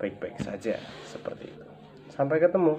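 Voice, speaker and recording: Noticeable background noise is present throughout. The man's pitch variation is ordinary. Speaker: vlogger, ornamental fish seller. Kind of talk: tutorial. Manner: casual, hesitant with fillers.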